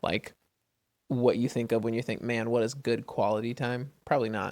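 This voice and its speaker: His pitch is medium for a man, and he moves at a moderate pace. The intonation stays monotone and flat. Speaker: podcast co-host with his wife. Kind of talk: casual chat. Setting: home recording at night. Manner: loud.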